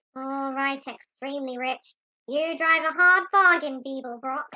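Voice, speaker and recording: A female-sounding, high-pitched put-on character voice speaks at a moderate pace. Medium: audio drama. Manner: brisk, businesslike.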